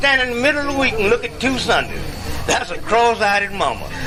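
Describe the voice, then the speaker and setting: An American accent with crowd noise in the background. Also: man. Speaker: medicine show comedian and blues harmonica player. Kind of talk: comic stage monologue. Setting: outdoors.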